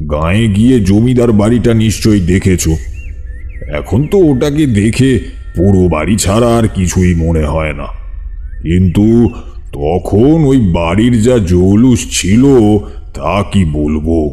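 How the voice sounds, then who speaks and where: Music plays in the background as a man puts on a character voice at a fairly low pitch. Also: fairly slow pace. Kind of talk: rural ghost-story telling. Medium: audio drama. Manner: unhurried, confiding, addressing listeners directly.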